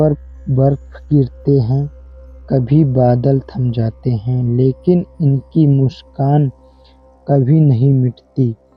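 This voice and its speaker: A man's fairly high-pitched voice comes through while music plays behind him. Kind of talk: emotional nature voiceover narration. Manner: emotional, reflective.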